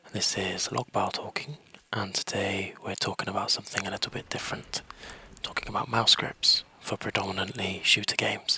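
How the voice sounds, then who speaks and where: Someone whispers at a fairly quick pace against noticeable background noise. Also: man. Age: 30s. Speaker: gaming YouTuber. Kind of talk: casual tutorial. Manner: half whispering.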